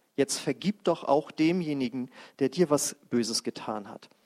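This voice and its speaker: Speaking at a very slow pace, a man with a fairly high pitch, a warm tone and ordinary pitch variation comes through with a dry, close sound and no echo. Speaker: preacher leading a healing service. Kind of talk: sermon and fervent prayer. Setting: church service with congregation. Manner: passionate, declaring prayer, full of conviction; warm, casual, interacts with the congregation.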